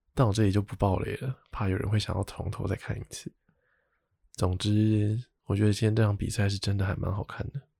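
Dry and close with no echo, a somewhat breathy man speaks at a fairly quick pace in a fairly low, monotone, flat voice. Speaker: podcast host. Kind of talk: casual chat.

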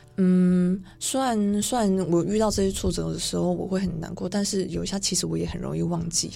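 The woman talks at a fairly quick pace with hardly any pauses. Room echo is audible around her voice. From Taiwan. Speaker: fashion model. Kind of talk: radio interview. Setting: radio studio.

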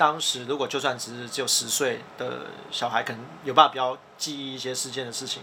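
A man at a medium pitch and a fairly quick pace, with big swings in loudness and noticeable background noise. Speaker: podcast host, editor-in-chief. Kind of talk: casual explanatory chat. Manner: animated.

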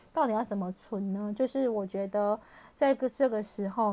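A woman speaks at a fairly slow pace. Her pitch sits fairly high, with ordinary variation. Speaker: personal finance podcaster. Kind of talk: casual solo podcast talk. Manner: laughs often. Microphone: crackly, hissy recording.

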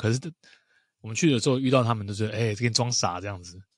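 A man's medium-pitched voice on a very clean recording against a silent background. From Taiwan. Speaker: podcast host. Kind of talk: casual chat.

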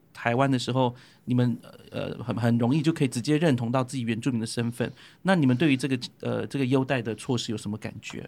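The recording is very clean, with a silent background. A man talks very fast at a medium pitch, his intonation fairly even. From Taiwan, Bunun. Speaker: podcast co-host. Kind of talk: casual chat.

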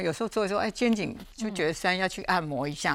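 The speaker has an ordinary speaking voice. The intonation is lively. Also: woman, very clean recording, silent background. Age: 60s. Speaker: food safety expert. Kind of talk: casual health talk show chat.

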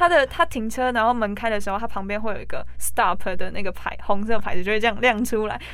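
Fairly high-pitched, a woman rattles along at a very fast pace with hardly any pauses. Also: ordinary pitch variation. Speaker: recent high school graduate, former exchange student. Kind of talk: interview.

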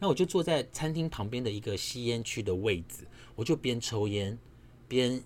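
In a Taiwanese accent, a man speaks with lively intonation. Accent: Taiwanese Mandarin. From Taiwan, Nanfang'ao (Yilan). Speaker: podcast host. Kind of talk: casual solo monologue. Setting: home apartment at night. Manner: quiet, keeping voice down.

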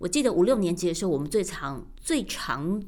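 Lively in intonation, a woman speaks with an ordinary speaking voice. She keeps a moderate pace at a medium pitch. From Taiwan. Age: 50s. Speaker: radio broadcaster. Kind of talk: personal podcast monologue.

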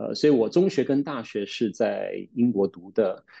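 This is a man speaking. His pace is fairly slow. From Taiwan, with secondary school and university in the UK. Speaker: pastor and theology teacher. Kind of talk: casual chat. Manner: hesitant, many filler sounds.

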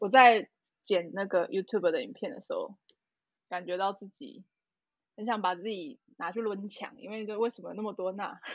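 A woman talks at medium pitch and a moderate pace with ordinary pitch variation. Her loudness swings widely, and she takes long, frequent pauses. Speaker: podcast co-host. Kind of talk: casual chat. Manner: animated.

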